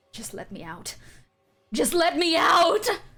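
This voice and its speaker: A woman performs a put-on character voice at an extremely high pitch. She goes at a fairly slow pace. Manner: eerie, pleading.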